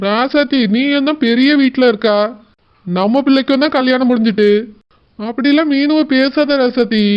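Using a cartoonish character voice, a man speaks at an extremely high pitch, fairly slowly, with ordinary pitch variation and very even loudness. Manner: placating, evasive.

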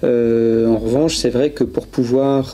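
This man talks with a monotone, flat intonation. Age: 40s. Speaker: public relations manager at a phone maker; guest. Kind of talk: casual chat. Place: studio. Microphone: handheld.

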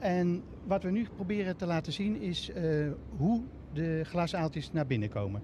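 Here a man speaks at a fairly slow pace with a high pitch, lively intonation and a dark, mellow tone. The sound is dry with no echo, and light background noise is present. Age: 60s. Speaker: pumping station manager. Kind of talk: on-location TV interview. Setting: on location at a pumping station. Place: waterside. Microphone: handheld.

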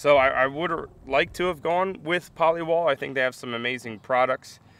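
A man speaks in a bright, sharp tone at a moderate pace. His pitch varies in an ordinary way, and the sound is dry with no echo. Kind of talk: casual vlog chat. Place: open country. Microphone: phone near.

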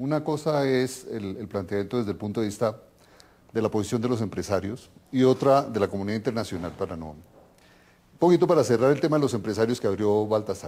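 At a very fast pace, a man speaks with a Colombian accent at a medium pitch. His tone is dark and mellow, with big swings in loudness. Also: lively intonation. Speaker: TV host, political scientist. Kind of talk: TV interview. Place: studio. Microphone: lapel.

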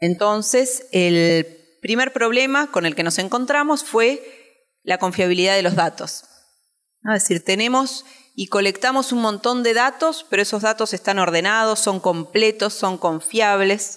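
An unremarkable speaking voice: a woman with a fairly high pitch talks at a fairly slow pace with ordinary pitch variation against a quiet background. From Uruguay. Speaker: education researcher and teacher presenting a study; conference presenter. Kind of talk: conference presentation. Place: hall.

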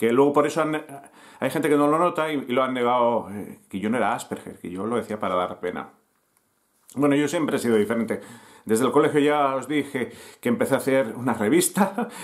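This is a man's voice at a medium pitch. He talks at a fairly quick pace. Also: lively intonation, quiet background. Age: 50s. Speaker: youtuber and newspaper founder; youtuber telling his life story. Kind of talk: personal storytelling to camera. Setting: home, recording to camera. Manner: halting, many fillers. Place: home room. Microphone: webcam.

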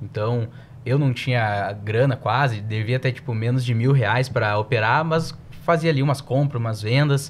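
The man's voice is somewhat breathy and medium in pitch. He talks at a moderate pace. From southern Brazil. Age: 20s. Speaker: financial analyst. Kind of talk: podcast interview.

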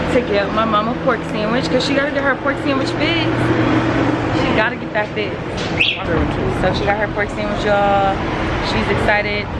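A woman talks at a moderate pace while loud background noise fills the recording. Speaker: travel vlogger. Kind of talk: casual vlog chat. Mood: upbeat, playful. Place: street. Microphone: phone near.

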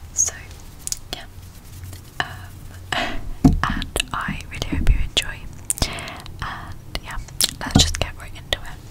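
Whispering at a very slow pace, the woman leaves long, frequent pauses. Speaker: ASMR creator. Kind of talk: ASMR personal attention instructions. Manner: whispered. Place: home room. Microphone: studio mic.

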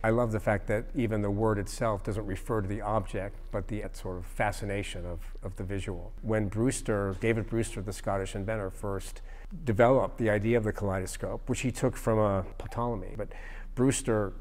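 Fairly quick and monotone, a man talks in a fairly low pitch with flat intonation. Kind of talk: interview answer. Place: hall. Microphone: lapel.

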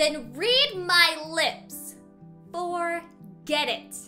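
Faint music plays behind a woman doing a put-on character voice at an extremely high pitch, bright and sharp in tone. She talks very slowly with lively intonation.

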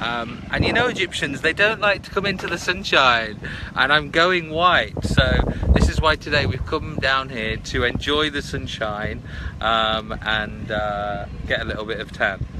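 A man talks at a fairly slow pace. There is noticeable background noise, and the sound is dry with no echo. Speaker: live streamer. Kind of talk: casual vlog chat. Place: waterside. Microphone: phone near.

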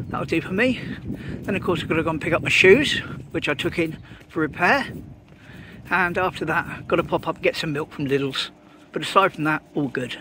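Over noticeable background noise, a man talks at a fairly quick pace. His pitch varies in an ordinary way, and the sound is dry with no echo. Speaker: walking vlogger. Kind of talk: casual vlog chat. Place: street. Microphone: phone near.

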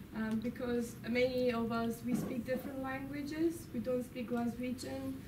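Over noticeable background noise, a woman speaks in a monotone with flat intonation at a moderate pace. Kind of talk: informal talk to an audience. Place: classroom. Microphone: camera far.

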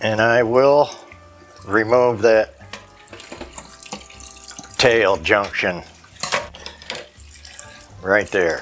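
At a very slow pace with long, frequent pauses, a man speaks at a fairly low pitch with ordinary pitch variation over light background noise. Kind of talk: casual cooking vlog talk. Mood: relaxed, jokey. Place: kitchen.

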